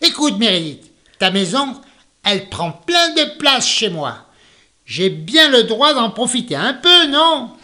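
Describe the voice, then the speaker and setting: The voice is a put-on character voice with a fairly high pitch. It moves at a fairly slow pace. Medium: read story.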